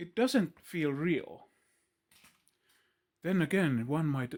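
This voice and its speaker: In a very clean recording with a silent background, a man with a Finnish accent talks very slowly at a fairly high pitch, his intonation lively. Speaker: video blogger. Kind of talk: philosophical monologue. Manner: halting.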